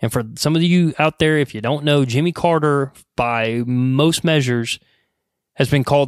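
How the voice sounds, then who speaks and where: In a very clean, silent recording with a dry, close sound and no echo, a man with a normal speaking voice talks at a moderate pace, medium in pitch with ordinary pitch variation. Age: 30s. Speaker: podcast host. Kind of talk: casual monologue. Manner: casual, with filler words.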